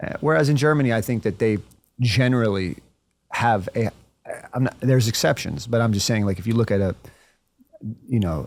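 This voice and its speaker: A man with an American accent speaks at a fairly quick pace and medium pitch. His pitch varies in an ordinary way, and he leaves long, frequent pauses. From United States. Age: 40s. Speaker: entrepreneur. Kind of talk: casual chat. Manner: halting.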